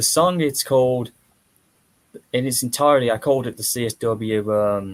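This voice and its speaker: With an American accent, a man speaks at a moderate pace with ordinary pitch variation, leaving long, frequent pauses. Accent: British with American-like delivery. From Britain. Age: 30s. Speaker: streamer. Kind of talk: casual chat. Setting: live stream.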